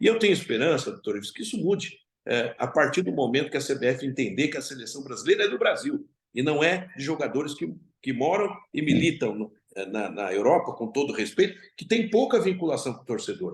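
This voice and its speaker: Speaking at a fairly quick pace, a man with a fairly high pitch and vocal fry swings very widely in pitch and shows big swings in loudness. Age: 60s. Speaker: football club president. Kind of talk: interview.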